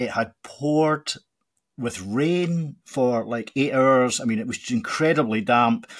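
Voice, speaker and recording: A man speaks at a very slow pace with a Scottish accent, his pitch medium with ordinary variation. The recording is very clean, with a silent background. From Scotland, Glasgow. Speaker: college football podcast host. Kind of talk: casual interview chat. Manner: halting, many fillers and repetitions.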